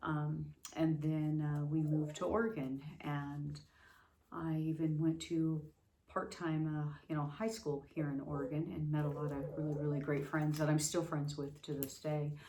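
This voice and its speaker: A woman with a General American accent speaks at a moderate pace with fairly even intonation and a very deep, low pitch. Audible room echo surrounds her voice. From Las Vegas, US West. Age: 50s. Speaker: vlogger, abuse survivor. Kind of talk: personal testimony. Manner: halting, many fillers.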